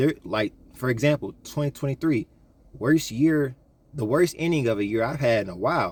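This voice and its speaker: The intonation is lively. A man delivers it at a very fast pace. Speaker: YouTuber giving life advice. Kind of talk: casual vlog monologue. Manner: casual, slangy delivery with repeated fillers.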